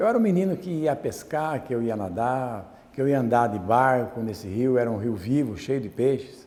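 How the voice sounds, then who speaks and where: A man's medium-pitched voice, dark and mellow in tone, with lively intonation, a moderate pace and hardly any pauses. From Brazil, Jundiaí, São Paulo state. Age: 60s. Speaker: artisan. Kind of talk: talk.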